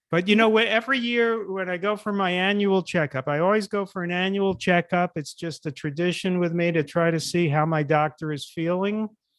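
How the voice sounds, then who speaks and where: A man speaks with a high pitch and ordinary pitch variation. His pace is fairly quick. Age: 60s. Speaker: author. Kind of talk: interview. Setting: live stream.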